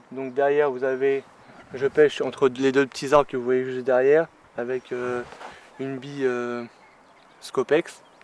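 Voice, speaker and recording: Noticeable background noise sits behind a man speaking at a moderate pace in a medium pitch. The sound is dry and close, with no echo. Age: 20s. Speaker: carp angler. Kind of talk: casual explanation to camera. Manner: hesitant, many fillers.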